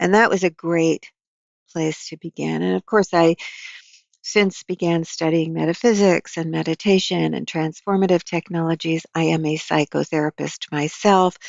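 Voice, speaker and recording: A woman with a plain, everyday voice speaks at a moderate pace, her fairly low pitch carrying a fairly even intonation. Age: 60s. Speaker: psychotherapist and author. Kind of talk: interview conversation.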